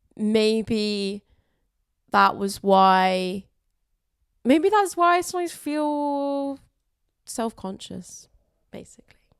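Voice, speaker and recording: In a fairly high voice, a woman speaks at a very slow pace with long, frequent pauses, very wide pitch swings and big swings in loudness. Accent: Southern English. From southern England (Wimbledon, London). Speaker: comedian. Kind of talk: casual chat. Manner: expressive.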